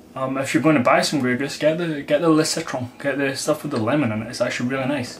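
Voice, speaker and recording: Noticeable background noise sits behind a man talking at a very fast pace. His pitch is fairly high and his intonation fairly even. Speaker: vodka reviewer. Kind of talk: product review. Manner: casual, conversational.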